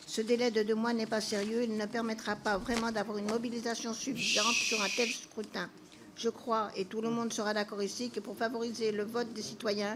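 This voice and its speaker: Over noticeable background noise, a woman speaks at a fairly high pitch and a moderate pace with monotone, flat intonation. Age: 70s. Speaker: member of parliament. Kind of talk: parliamentary speech.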